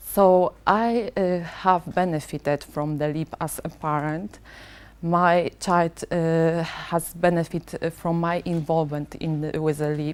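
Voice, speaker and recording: Speaking at a very slow pace, a woman keeps her intonation fairly even. Her pitch is fairly low. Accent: non-native. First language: not English. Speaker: parent representative. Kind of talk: prepared speech. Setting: board meeting. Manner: halting, many fillers.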